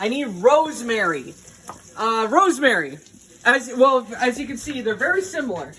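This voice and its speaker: With an animated tone and a raised, projected voice, a man talks at a moderate pace at an extremely high pitch, his pitch swinging very widely and his loudness swinging a lot over noticeable background noise. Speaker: cooking video host. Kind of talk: casual cooking tutorial.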